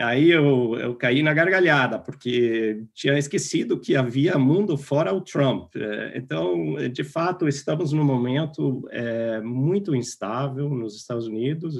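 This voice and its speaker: At a very slow pace yet with hardly any pauses, a man with an American accent speaks with lively intonation. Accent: foreign (American) accent in Portuguese. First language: English (speaking Portuguese). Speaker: political science professor. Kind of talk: interview. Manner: halting, many fillers and restarts.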